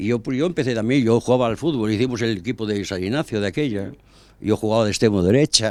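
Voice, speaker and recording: Speaking at a very fast pace, a man uses a medium pitch with ordinary pitch variation. The recording is very clean, with a silent background. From Spain, El Bierzo (Ponferrada, León). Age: 80s+. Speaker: former football club president. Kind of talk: interview. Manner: halting.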